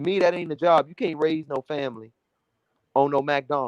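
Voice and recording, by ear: A man speaks at a moderate pace with fairly high pitch. His pitch variation is ordinary, and the sound is dry and close with no echo.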